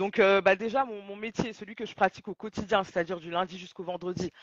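A woman talks fairly quickly at medium pitch in a normal speaking voice. Her intonation is fairly even, with big swings in loudness. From Mali / Senegal heritage. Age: 30s. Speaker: audiovisual journalist and talk show host. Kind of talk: live podcast discussion.

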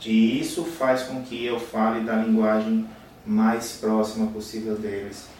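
A man with medium pitch speaks at a very slow pace in a monotone, flat intonation, with noticeable background noise behind him. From Paraíba, Brazil. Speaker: bariatric surgeon. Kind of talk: podcast interview.

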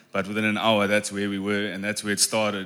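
A man's very fast, monotone delivery, fairly low in pitch, with a bright, sharp tone. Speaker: men's ministry leader. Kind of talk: testimony. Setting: church.

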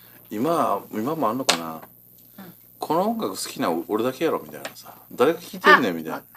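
Amid noticeable background noise, a man with a Kansai accent talks at a fairly quick pace in a medium pitch, his pitch swinging very widely and his loudness shifting a lot. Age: 40s. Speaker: radio co-host, shop owner. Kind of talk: casual chat.

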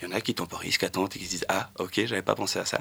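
A man talks at a very fast pace. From Wallonia, Belgium (between Charleroi and Nivelles). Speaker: cargo bike logistics worker. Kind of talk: radio panel discussion. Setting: radio studio. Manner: quiet, hard to hear.

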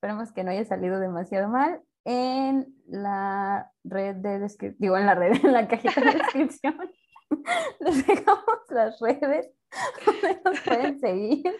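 A woman's high voice with very wide pitch swings at a fairly slow pace, over a quiet background. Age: 30s. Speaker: criminologist, podcast co-host. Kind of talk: casual chat.

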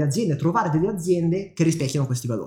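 A man with a high pitch and lively intonation. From northern Italy, Milan. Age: 20s. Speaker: podcast co-host, business coach. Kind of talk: casual chat.

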